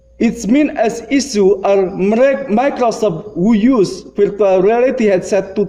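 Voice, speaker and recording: With very even loudness and hardly any pauses, a man speaks at a very slow pace in a high pitch with ordinary pitch variation. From Indonesia. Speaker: lecturer. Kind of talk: lecture. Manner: halting.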